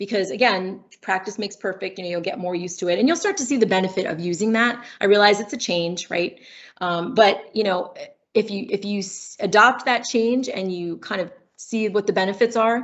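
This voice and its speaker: A woman talks fairly quickly at a medium pitch, her intonation showing ordinary variation. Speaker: director of change management and communications. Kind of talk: training webinar presentation. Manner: loud; casual, chatty.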